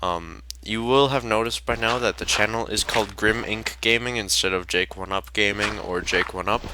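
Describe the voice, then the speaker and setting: A man speaks at a moderate pace in a fairly low pitch with a bright, sharp tone, shaky and with vocal fry, using ordinary pitch variation. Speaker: gaming youtuber. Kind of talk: gameplay commentary. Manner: hesitant, many fillers.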